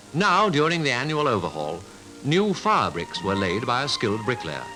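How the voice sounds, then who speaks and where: A man speaks fairly quickly at a medium pitch, his voice swinging very widely up and down, with music playing behind him. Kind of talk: newsreel narration.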